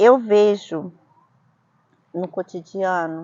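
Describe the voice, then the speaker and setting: This is a woman speaking. Her pitch is medium. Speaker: vlogger, immigrant. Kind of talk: casual discussion.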